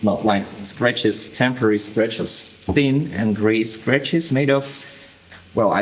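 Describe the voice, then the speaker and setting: Amid noticeable background noise and audible room echo, a man with a non-native accent speaks at a fairly slow pace. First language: not English. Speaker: tattoo artist. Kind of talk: tutorial. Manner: hesitant, with fillers.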